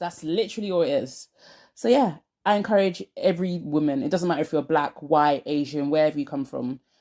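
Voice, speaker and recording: In a South London accent, a woman speaks fairly quickly with a dark, mellow tone and fairly low pitch. Her intonation is lively, and the recording is very clean with a silent background. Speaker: lifestyle vlogger. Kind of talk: casual vlog monologue. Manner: animated, emphatic.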